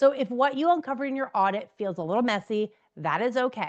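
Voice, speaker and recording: Against a quiet background, a woman with an American accent talks at a fairly quick pace with lively intonation. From New Jersey, US. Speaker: business coach. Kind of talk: direct-to-camera tutorial. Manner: loud; fast.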